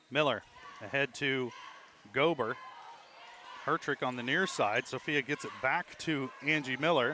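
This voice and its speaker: With long, frequent pauses and noticeable background noise, a man speaks in a fairly high pitch with fairly even intonation. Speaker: play-by-play announcer. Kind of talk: live commentary. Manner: fast.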